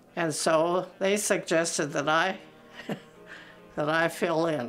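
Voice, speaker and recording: Speaking with an American accent, a woman has a fairly low pitch and a very slow pace. Music plays in the background. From Minnesota, USA. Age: 80s+. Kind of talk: interview answer.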